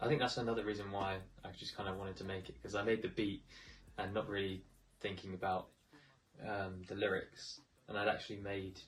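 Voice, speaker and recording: A man with a southern English accent speaks at a fairly quick pace and fairly low pitch, his voice somewhat breathy. His intonation is fairly even, broken by long, frequent pauses. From Buckingham, England. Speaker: rapper and music producer. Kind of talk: interview answer.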